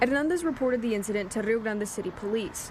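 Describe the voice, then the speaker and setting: A woman speaks at a very fast pace and fairly high pitch with ordinary pitch variation. There is noticeable background noise. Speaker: TV news reporter. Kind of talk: TV news report.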